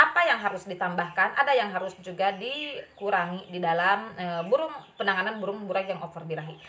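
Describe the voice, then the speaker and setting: A woman with a strong Sundanese accent, medium-pitched, fairly quick, and lively in intonation, over noticeable background noise. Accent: strong Sundanese accent in Indonesian. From West Java (Sundanese). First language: Sundanese (speaking Indonesian). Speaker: bird keeping vlogger. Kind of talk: casual tutorial. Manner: halting, many fillers.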